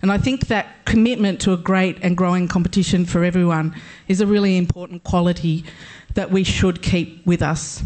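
A woman talks at a fairly quick pace. Her fairly low voice keeps fairly even intonation. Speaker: league pioneer giving speech. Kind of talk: acceptance speech on stage, emotional. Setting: stage with audience. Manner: emotional, slightly halting.

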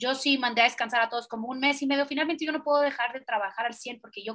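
Bright and sharp in tone, a high-pitched woman talks at a very fast pace with lively intonation. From Central America (Guatemala, El Salvador, Honduras). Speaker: pediatric dentist. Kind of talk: casual interview.

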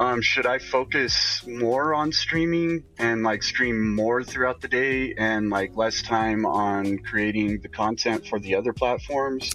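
Music plays in the background as a man with an American accent speaks at a very slow pace. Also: medium pitch for a man, ordinary pitch variation, hardly any pauses. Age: 30s. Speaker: streamer and podcaster. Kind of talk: casual chat. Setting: call-in podcast.

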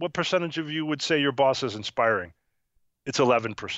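Speaking at a very fast pace, a man with an American accent uses lively intonation. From upstate New York (Syracuse). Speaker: author and keynote speaker. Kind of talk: interview. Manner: animated.

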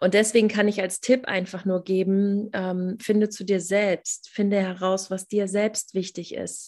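A woman speaks fairly slowly in a medium pitch, hardly pausing at all. Her intonation is monotone and flat over a quiet background. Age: 30s. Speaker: mentor and coach for mothers, former nurse. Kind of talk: interview.

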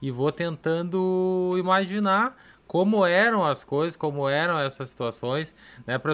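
In a very clean recording with a silent background, a man speaks at a high pitch and fairly slow pace with ordinary pitch variation. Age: 30s. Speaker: podcast host and pastor. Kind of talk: casual podcast chat. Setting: live-streamed podcast studio.

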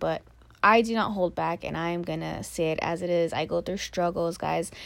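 With an ordinary speaking voice, a woman talks at a moderate pace and a fairly low pitch, her intonation fairly even, in a very clean recording with a silent background. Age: 20s. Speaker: podcaster. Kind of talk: casual monologue. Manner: rambling, laughing often.

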